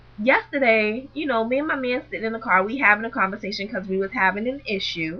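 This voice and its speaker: With music in the background, a woman in an American accent speaks at a high pitch in an animated tone, her pitch swinging very widely. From Boston, US. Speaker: vlogger. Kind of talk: storytelling vlog.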